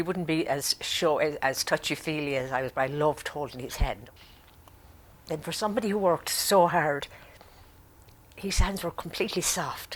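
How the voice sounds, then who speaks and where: A woman with an Irish accent and a very deep, low pitch, at a moderate pace with long, frequent pauses. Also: ordinary pitch variation. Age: 80s+. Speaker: grandmother. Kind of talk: interview testimony.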